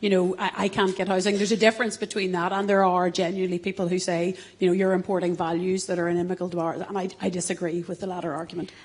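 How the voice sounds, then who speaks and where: In a Northern Irish accent, a woman at medium pitch rattles along at a very fast pace with hardly any pauses and monotone, flat intonation. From Northern Ireland, Belfast. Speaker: politician. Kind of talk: panel discussion. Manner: halting.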